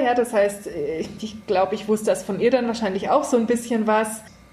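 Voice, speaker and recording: Backed by music, a woman with a fairly high pitch speaks at a fairly quick pace with ordinary pitch variation. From Germany, rural. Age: 30s. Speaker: columnist. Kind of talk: casual interview.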